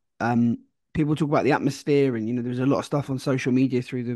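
A man talks at a very fast pace in a dark, mellow tone with monotone, flat intonation. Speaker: football podcast co-host. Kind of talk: casual chat. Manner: halting, many fillers.

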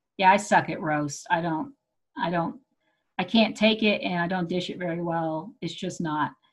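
Somewhat breathy, a woman with an American accent is heard on a very clean recording with a silent background. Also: fairly low pitch for a woman, ordinary pitch variation, moderate pace. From Texas. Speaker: podcast host and festival organizer. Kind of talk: casual chat.

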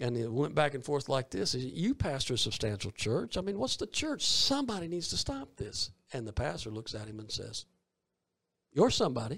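A man speaks with a Southern US accent, his somewhat breathy voice carrying lively intonation. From US South, Columbus, Georgia. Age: 50s. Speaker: evangelist. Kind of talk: interview. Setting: studio.

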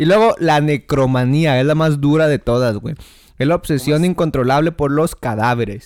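Pitch moves in an ordinary way, at a moderate pace. The recording is very clean, with a silent background. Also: man. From Ciudad Juárez, northern Mexico. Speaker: podcast co-host. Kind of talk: casual chat. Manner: animated.

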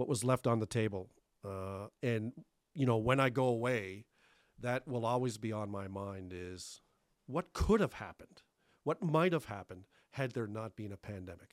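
A man with a Canadian accent has a normal speaking voice, medium in pitch with ordinary pitch variation, at a moderate pace. The recording is very clean with a silent background and a dry, close sound with no echo. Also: big swings in loudness. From Thunder Bay, northwestern Ontario, Canada (from Cape Breton as young teen). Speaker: retiring city manager. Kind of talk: interview. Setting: studio.

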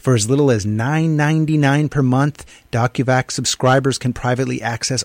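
Recorded very cleanly with a silent background and a dry, close sound with no echo, a man uses a normal speaking voice at a medium pitch with ordinary pitch variation. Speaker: radio talk show host. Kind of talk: radio interview and discussion. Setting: radio studio.

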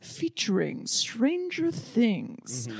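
A put-on character voice, female-sounding, at a fairly high pitch. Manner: creepy.

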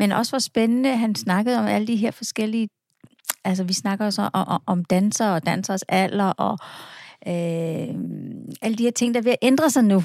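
A woman at medium pitch, moderate pace and ordinary pitch variation, recorded dry and close with no echo. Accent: Falster. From Falster, Denmark. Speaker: podcast host. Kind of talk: casual chat. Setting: studio.

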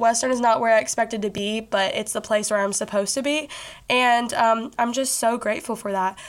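A Southern US accent at a fairly quick pace. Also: woman. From Kentucky, Bowling Green. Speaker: podcast host. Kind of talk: casual monologue. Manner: animated.

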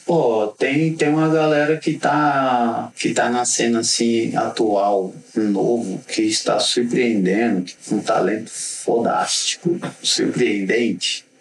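Through noticeable background noise, a man with a medium-pitched voice speaks very slowly, his intonation lively. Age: 40s. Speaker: graffiti artist. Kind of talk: casual interview chat.

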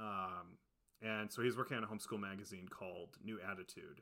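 Fairly low in pitch, a man with an American accent speaks at a fairly quick pace in a bright, sharp tone on a very clean recording with a silent background. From Ohio, US Midwest. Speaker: podcast co-host. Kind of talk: reading prepared research notes; casual chat.

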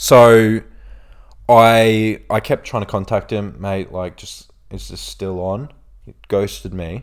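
Speaking at a very slow pace with an Australian accent, a man uses a fairly low pitch and big swings in loudness on a very clean recording with a silent background. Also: fairly even intonation. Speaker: influencer and podcast host. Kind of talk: casual storytelling chat.

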